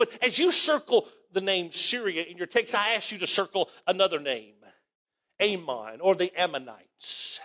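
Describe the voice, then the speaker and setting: Raised, projected voice from a man in an Alabama accent, high-pitched with a bright, sharp tone, very wide pitch swings and a moderate pace. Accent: Southern US (Alabama). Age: 50s. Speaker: pastor. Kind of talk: sermon. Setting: church.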